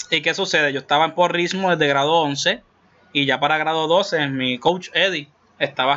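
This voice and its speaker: A man with an unremarkable speaking voice, fairly high pitch, ordinary pitch variation and a moderate pace. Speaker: podcast host. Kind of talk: casual chat.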